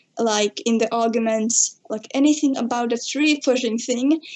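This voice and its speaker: At a moderate pace, a woman with a high pitch speaks over noticeable background noise. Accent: Finnish. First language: Finnish. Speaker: podcast guest. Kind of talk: casual chat. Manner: halting.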